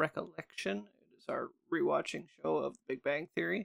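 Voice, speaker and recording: The recording is dry and close with no echo as a man speaks at a moderate pace. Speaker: tech podcast co-host. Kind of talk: casual chat. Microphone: Blue Yeti Nano microphone.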